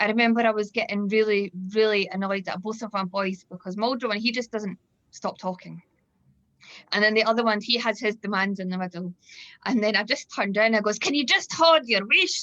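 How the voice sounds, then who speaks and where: This woman speaks at a fairly quick pace with a fairly high pitch and ordinary pitch variation. Her tone is bright and sharp. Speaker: event host. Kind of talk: video call panel discussion. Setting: video call.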